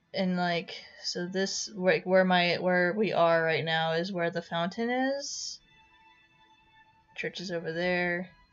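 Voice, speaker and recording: A woman talks very slowly in a bored tone, fairly low in pitch, with long, frequent pauses and music in the background. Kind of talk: unscripted game walkthrough talk. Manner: hesitant, stuttering; flat, bored-sounding.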